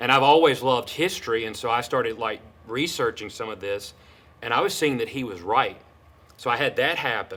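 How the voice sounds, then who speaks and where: A man speaks loudly at a fairly quick pace, his tone bright and sharp. His pitch sits in the medium range with ordinary variation. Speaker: pastor and seminary student. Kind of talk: interview. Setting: podcast.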